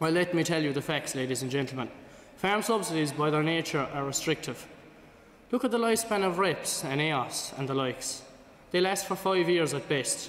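In an Irish accent, a man with a fairly high pitch uses lively intonation, and audible room echo can be heard. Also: moderate pace. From Ireland. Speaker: student debater. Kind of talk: formal debate speech. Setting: stage with audience. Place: hall. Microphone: podium.

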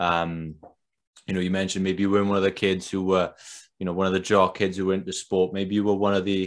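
A man with a Welsh accent talks at a very fast pace in a fairly low pitch. The background is quiet. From Wales. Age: 20s. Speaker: podcast host. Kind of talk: interview. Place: home room. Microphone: webcam.

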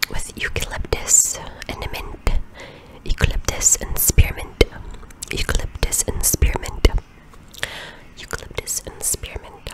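A woman whispers, and there is noticeable background noise. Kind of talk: ASMR self-care voiceover. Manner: soft-spoken, whispered.

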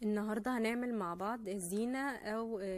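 Ordinary pitch variation from a woman at a moderate pace. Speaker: craft channel host. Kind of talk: tutorial. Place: home room. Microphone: phone near.

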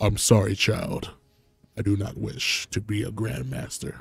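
Over faint music in the background, a man puts on a character voice, fairly low-pitched and at a moderate pace.

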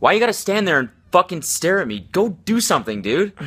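A man speaks at a fairly quick pace with a high pitch, big pitch swings and a fairly bright tone.

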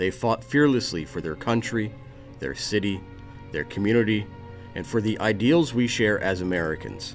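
Music plays behind a man who speaks with a fairly low pitch and lively intonation. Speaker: narrator. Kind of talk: documentary narration.

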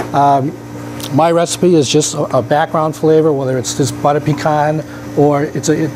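Noticeable background noise sits behind this man. He speaks at a fairly quick pace with a fairly high pitch. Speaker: flavor company guest demonstrator; guest. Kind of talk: live cooking demonstration. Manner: quiet, hard to hear. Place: kitchen. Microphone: wearing a microphone, still quiet.

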